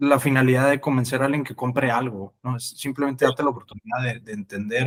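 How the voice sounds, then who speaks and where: This man speaks fairly quickly. His intonation stays monotone and flat. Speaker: crypto investor. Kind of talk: podcast interview.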